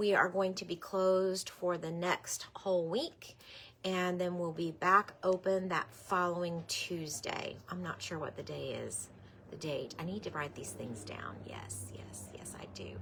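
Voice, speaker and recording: At a fairly slow pace, a woman with a normal speaking voice and a fairly low pitch talks with ordinary pitch variation and big swings in loudness. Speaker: quilt shop owner hosting live sale. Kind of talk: live stream product show.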